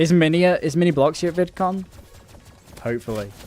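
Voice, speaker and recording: A man's fairly high, fast-moving voice with very wide pitch swings over noticeable background noise. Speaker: gaming streamer. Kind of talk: casual live-stream chat while gaming. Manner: casual, slangy.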